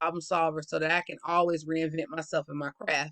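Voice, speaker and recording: Someone with a Southern US accent speaks at a fairly quick pace. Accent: Southern US, urban. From US South. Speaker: student. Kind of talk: class presentation. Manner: fast.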